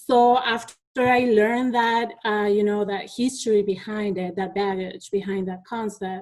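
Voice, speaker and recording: A woman talks at a fairly slow pace with a Spanish accent, with hardly any pauses. Her intonation stays fairly even. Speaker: teacher. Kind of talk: conference presentation. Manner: halting, with many fillers.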